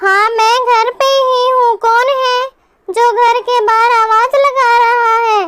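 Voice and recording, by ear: A woman's cartoonish character voice, extremely high-pitched, with monotone, flat intonation at a fairly slow pace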